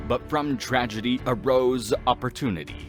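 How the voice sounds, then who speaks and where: A man talks rather slowly while music plays behind him. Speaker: voice actor. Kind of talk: documentary lore narration.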